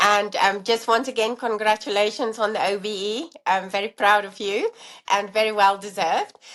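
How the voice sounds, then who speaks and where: With a South African accent, a woman talks at a moderate pace and medium pitch with fairly even intonation. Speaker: allergy dietitian and professor. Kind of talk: interview conversation.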